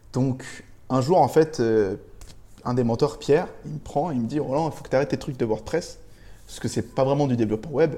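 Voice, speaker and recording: A man talks at a fairly quick pace with a medium pitch, ordinary pitch variation and a dark, mellow, somewhat breathy tone. His loudness swings widely, and he leaves long, frequent pauses. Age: 20s. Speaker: freelance web developer. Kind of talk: casual interview.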